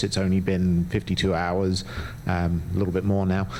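Against noticeable background noise, the delivery stays monotone and flat. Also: man. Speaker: public commenter, local parent. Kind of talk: public comment at school board meeting. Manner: soft-spoken; hesitant, many fillers.

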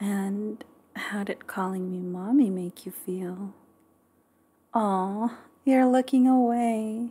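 Slowly and gently, a woman speaks at a medium pitch in a dark, mellow, somewhat breathy tone, with fairly even intonation and long, frequent pauses at a very slow pace. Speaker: ASMR creator. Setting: close-mic studio recording. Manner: soft, slow, gentle and nurturing, with affectionate pet names and giggles.

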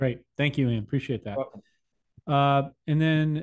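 At a moderate pace and with fairly even intonation, a man speaks over a quiet background. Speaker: podcast host. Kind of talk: casual interview. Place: home room. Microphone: studio mic.

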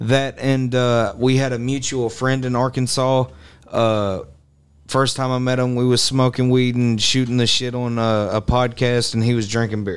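A man speaks at a moderate pace in a flat, monotone delivery. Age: 20s. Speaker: rapper; podcast guest or host. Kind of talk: casual chat. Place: studio. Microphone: studio mic.

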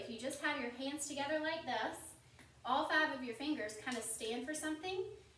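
In a space with audible room echo, a woman talks at a fairly quick pace with ordinary pitch variation. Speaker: Sunday school teacher parent. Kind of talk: children's lesson. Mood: gentle, warm, reassuring. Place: home room. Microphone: camera far.

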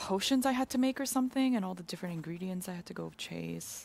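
A woman speaks at a fairly quick pace with a medium pitch. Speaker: community manager and game streamer. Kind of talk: casual gameplay livestream chat. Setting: studio livestream. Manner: animated.

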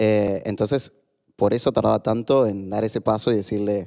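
A man's dark, mellow, fairly low voice at a moderate pace, with fairly even intonation and a quiet background. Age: 30s. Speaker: author and LGBT activist; podcast guest. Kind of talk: casual interview. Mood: reflective, personal storytelling. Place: studio. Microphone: studio mic.

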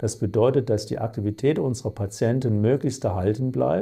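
A somewhat breathy voice with a dark, mellow tone moves at a fairly quick pace with ordinary pitch variation against a quiet background. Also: man. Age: 50s. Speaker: chief surgeon. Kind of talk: self-presentation for clinic video. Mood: calm, professional. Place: office. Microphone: lapel.

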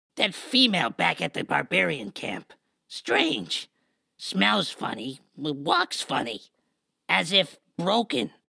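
Someone does a put-on character voice at a low-to-middle pitch with very wide pitch swings. The delivery is fairly slow. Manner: broken, clipped speech.

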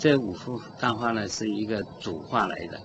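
Against noticeable background noise, a man speaks with a fairly low pitch. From China. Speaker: painter. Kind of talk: interview. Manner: halting. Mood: calm, reflective. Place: studio. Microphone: studio mic.

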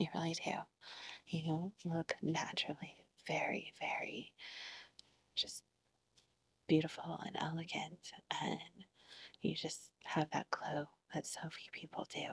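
Whispering in a soothing, gentle tone, a woman speaks at a fairly slow pace. She leaves long, frequent pauses. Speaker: ASMR roleplay student therapist. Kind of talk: ASMR roleplay, soft whispered therapy session. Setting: video, roleplay session with listener as the patient. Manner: soft-spoken, soothing, gentle and reassuring, with repeated praise. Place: home room.

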